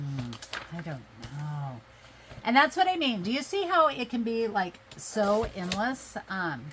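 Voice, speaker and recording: Over noticeable background noise, a woman speaks at a very slow pace with very wide pitch swings. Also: medium pitch for a woman. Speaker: craft video creator. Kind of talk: crafting tutorial. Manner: casual, chatty.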